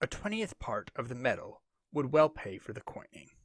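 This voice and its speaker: A man puts on a character voice, pitched fairly high, and keeps to a moderate pace. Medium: read story. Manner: proud, shrewd.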